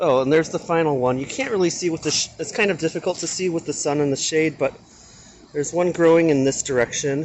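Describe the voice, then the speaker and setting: A man talks at a very fast pace in a fairly high voice with ordinary pitch variation. Noticeable background noise runs underneath. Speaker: cooking and gardening vlogger. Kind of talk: casual cooking tutorial. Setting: kitchen at home. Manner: soft-spoken.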